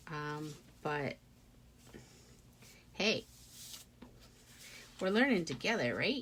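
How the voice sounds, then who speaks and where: A woman mumbles at a very slow pace with long, frequent pauses. Her fairly low voice swings very widely in pitch. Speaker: craft tutorial creator. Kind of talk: tutorial. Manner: mumbling; casual, thinking aloud with fillers.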